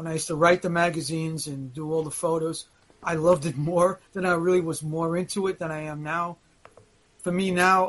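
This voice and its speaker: An unremarkable speaking voice from a man with an American accent, fairly high in pitch, at a moderate pace. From Brooklyn, New York. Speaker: wrestling veteran. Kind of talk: casual interview chat.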